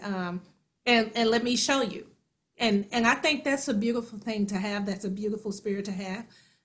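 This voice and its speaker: With an American accent, a woman speaks at a moderate pace in a fairly high, bright, sharp voice with ordinary pitch variation. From US Midwest, Kansas City. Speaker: actor and singer. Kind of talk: interview.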